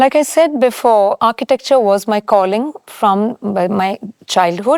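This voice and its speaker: Speaking in a Keralan accent, a woman has a fairly high pitch. Her intonation is lively and her pace fairly slow. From India, Chennai (Tamil Nadu). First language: Malayalam. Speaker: architect. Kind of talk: interview.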